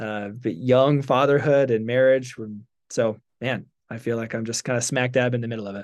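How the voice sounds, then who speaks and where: In a quiet background, a man with an unremarkable speaking voice talks at a medium pitch and moderate pace, with fairly even intonation but big swings in loudness. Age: 30s. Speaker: ministry worker and podcaster. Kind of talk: casual conversational interview.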